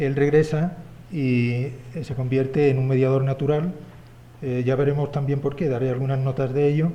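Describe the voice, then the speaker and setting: With a fairly high pitch, a man talks in a dark, mellow, somewhat breathy tone at a moderate pace, his intonation monotone and flat, amid audible room echo. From Spain. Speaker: historian. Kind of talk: conference talk. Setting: symposium with audience. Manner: hesitant, many fillers.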